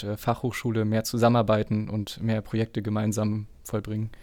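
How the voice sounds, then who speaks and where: At a moderate pace, a man talks in a plain, everyday voice at medium pitch. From northeastern Germany, Schwerin. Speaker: podcast host. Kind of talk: interview.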